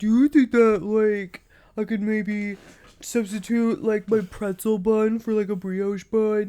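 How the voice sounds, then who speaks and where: A put-on character voice speaks at a fairly high pitch and a fairly slow pace. The recording is very clean, with a silent background. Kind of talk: filler-heavy, vague.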